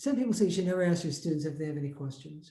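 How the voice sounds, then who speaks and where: With audible room echo around him, a man speaks in a dark, mellow tone that swings very widely in pitch. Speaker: math and programming teacher. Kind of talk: lecture. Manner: fast; halting.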